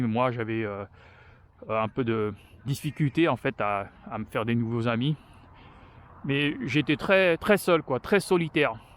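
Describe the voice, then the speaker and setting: Recorded very clean against a silent background, a man speaks at a medium pitch and moderate pace with ordinary pitch variation, the sound dry and close with no echo. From France. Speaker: vlogger. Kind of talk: casual personal vlog talk while walking. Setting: outdoors on a walk. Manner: halting, many hesitations.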